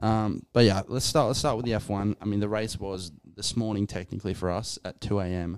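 A man with an ordinary speaking voice, fairly low pitch, fairly even intonation and fairly quick pace, in a very clean recording with a silent background. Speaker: podcast co-host. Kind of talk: casual banter about sports.

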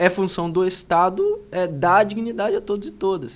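A man is speaking. His pitch is high. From Brazil, Itaperuna (Rio de Janeiro state). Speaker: human rights official and lawyer. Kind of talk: interview conversation. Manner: hesitant, frequent fillers.

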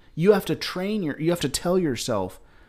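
A man with a Southern accent talks at a fairly quick pace in a very clean recording with a silent background. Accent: sounds Southern. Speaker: podcast co-host. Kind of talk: casual chat.

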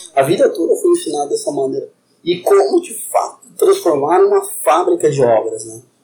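A man at a moderate pace. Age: 30s. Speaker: construction company founder. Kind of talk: interview.

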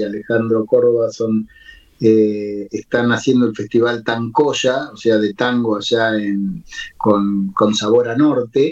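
Pitched at a medium level, a man speaks with ordinary pitch variation. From Buenos Aires. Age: 60s. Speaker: lyricist and poet. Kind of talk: interview. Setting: remote call. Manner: halting.

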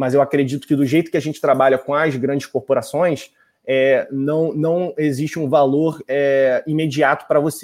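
Pitched fairly high, a man talks at a moderate pace with fairly even intonation. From Brazil, Rio de Janeiro. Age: 20s. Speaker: voice technology agency executive. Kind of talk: interview.

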